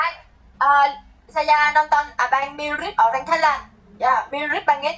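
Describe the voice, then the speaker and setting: Her voice is high for a woman and varies in pitch in an ordinary way. The woman speaks at a very slow pace. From Vietnam. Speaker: live streamer. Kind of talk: casual chat. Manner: halting.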